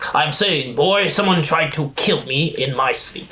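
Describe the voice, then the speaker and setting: Using a put-on character voice, a man speaks at a moderate pace and a fairly high pitch. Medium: actual play. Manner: formal, clipped and stern.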